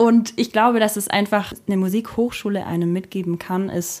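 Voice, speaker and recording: A woman with an ordinary speaking voice and a medium pitch speaks fairly slowly, with ordinary pitch variation. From rural Germany. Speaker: singer and keyboardist in a duo. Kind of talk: casual interview chat. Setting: at the host's home.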